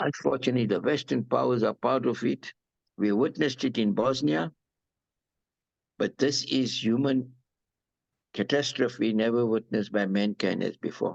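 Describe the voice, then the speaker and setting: Against a quiet background, a man of medium pitch speaks at a moderate pace with long, frequent pauses, vocal fry, ordinary pitch variation and very even loudness, the sound dry and close with no echo. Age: 70s. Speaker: humanitarian. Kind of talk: interview. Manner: halting, repetitive; passionate.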